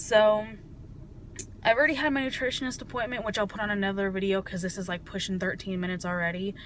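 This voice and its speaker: Amid audible room echo, a woman with a medium pitch talks at a very fast pace with ordinary pitch variation. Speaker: vlogger. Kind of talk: personal video diary.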